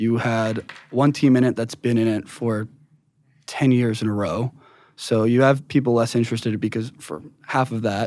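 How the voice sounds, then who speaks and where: The recording is very clean, with a silent background. A man with a plain, everyday voice speaks at a medium pitch and moderate pace, with fairly even intonation. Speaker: marketing strategist. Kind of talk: casual chat.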